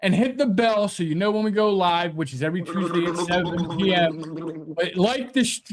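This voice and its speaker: Pitch varies in an ordinary way as the delivery holds a moderate pace. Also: man, high pitch for a man. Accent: Philadelphia. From Delaware County, Pennsylvania. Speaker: sports talk show co-host. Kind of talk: casual chat. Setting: live stream.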